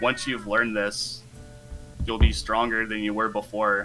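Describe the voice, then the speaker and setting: In a put-on character voice, a man booms at a moderate pace with a fairly low pitch while clear music plays in the background. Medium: actual play. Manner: commanding, menacing.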